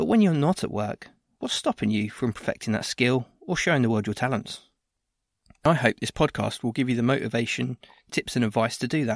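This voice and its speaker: A normal speaking voice with ordinary pitch variation is heard. The recording is very clean with a silent background and a dry, close sound with no echo. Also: man, medium pitch for a man, fairly quick pace. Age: 30s. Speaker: podcast host and training provider. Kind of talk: scripted podcast introduction.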